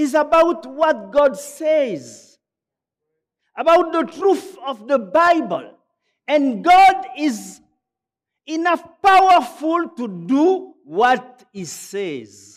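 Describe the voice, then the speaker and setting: This man talks at a very slow pace, leaving long, frequent pauses. His pitch is extremely high, his intonation lively, and he has a French accent. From Gabon. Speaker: pastor. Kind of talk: sermon. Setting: church. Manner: halting.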